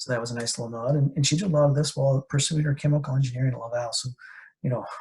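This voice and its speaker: A man with an Atlantic Canadian accent talks in a somewhat breathy voice at a fairly high pitch. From New Brunswick, Canada. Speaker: podcast host. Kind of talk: interview podcast. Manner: casual, filler-heavy.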